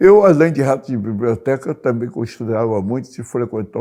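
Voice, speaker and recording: On a very clean recording with a silent background, a man speaks in a dark, mellow tone with lively intonation. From Rio de Janeiro, Brazil. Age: 80s+. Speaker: journalist. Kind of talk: oral history interview.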